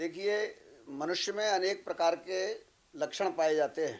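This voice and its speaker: The background is silent and the recording very clean. A man's high-pitched voice shows ordinary pitch variation. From Madhya Pradesh, Bhind district (India). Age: 70s. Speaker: spiritual guru and fortune-teller. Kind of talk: interview. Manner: formal.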